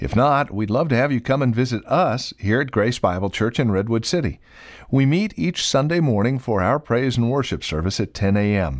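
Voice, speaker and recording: A man's medium-pitched voice, an ordinary speaking voice, with lively intonation, very even loudness and a moderate pace. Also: very clean recording, silent background. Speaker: radio announcer. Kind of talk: radio announcement. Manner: formal, measured.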